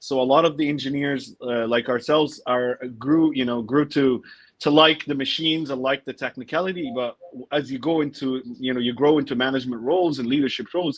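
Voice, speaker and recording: A man with a plain, everyday voice talks at a fairly quick pace, fairly high in pitch, with fairly even intonation. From United States. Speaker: business coach and podcaster. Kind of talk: interview.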